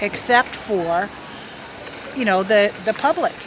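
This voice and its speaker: A woman speaks at a medium pitch and a fairly slow pace with lively intonation. Noticeable background noise runs behind her. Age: 60s. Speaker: former funeral director. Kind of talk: radio interview.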